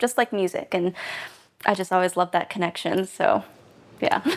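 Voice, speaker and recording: Heard on a very clean recording with a silent background, a woman with an American accent and a medium pitch talks at a fairly quick pace in a normal speaking voice. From United States. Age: 20s. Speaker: classical violinist and film student. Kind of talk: documentary interview answer.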